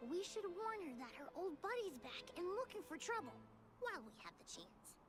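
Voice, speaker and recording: Against clear background noise, a put-on character voice at an extremely high pitch makes very wide pitch swings. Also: moderate pace. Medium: video game.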